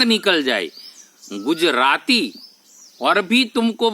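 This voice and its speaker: Very wide pitch swings mark the way this man talks. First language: Gujarati (speaking Hindi). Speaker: spiritual YouTuber. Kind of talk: spiritual talk to camera. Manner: halting, with self-corrections.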